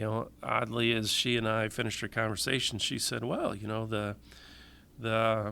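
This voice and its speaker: A man's medium-pitched, bright, sharp voice in a Michigan accent, monotone and flat in intonation at a moderate pace. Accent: Midwestern US (Michigan). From Michigan, with teen years in Tennessee and Florida. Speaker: public safety agency director, engineer. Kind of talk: interview. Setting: podcast. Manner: hesitant, many fillers.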